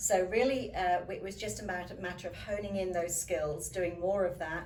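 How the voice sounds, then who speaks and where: With a British accent, a woman talks at medium pitch and a moderate pace. Audible room echo and noticeable background noise are present. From UK. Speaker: leadership coach and professional speaker. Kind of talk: interview.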